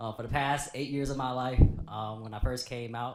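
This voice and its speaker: This man has an ordinary speaking voice at a medium pitch. He talks at a moderate pace with fairly even intonation. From Cleveland, Ohio. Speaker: educator and podcaster, panelist. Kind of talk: panel introduction. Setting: panel with live audience.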